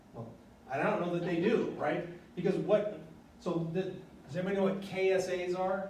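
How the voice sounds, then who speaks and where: Through noticeable background noise and audible room echo, a man with a high pitch speaks in fairly even intonation, leaving long, frequent pauses. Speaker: university lecturer. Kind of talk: lecture. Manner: fast.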